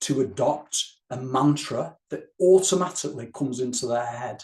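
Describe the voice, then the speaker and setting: A man is speaking here. His voice is somewhat breathy, with ordinary pitch variation. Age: 60s. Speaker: wellbeing trainer, former police officer. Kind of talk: tutorial. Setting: recorded to camera. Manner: slow, guided breathing instructions.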